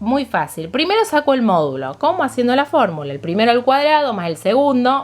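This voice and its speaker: A woman's fairly high voice at a fairly quick pace, full of very wide pitch swings. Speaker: math teacher. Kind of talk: tutorial. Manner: fast.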